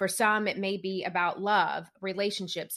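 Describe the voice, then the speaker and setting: A woman at a medium pitch with a Southern US accent, moderate in pace, against a quiet background. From small-town rural Tennessee. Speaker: business coach and podcast host. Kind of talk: interview conversation.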